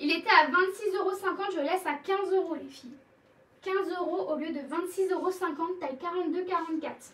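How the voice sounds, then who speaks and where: A woman's extremely high-pitched voice at a fairly quick pace, with big swings in loudness. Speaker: clothing seller. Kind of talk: live sales stream. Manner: animated.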